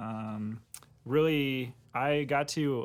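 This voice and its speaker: The speaker is a man with an American accent. His pitch moves in an ordinary way. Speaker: church podcast co-host. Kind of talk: casual chat.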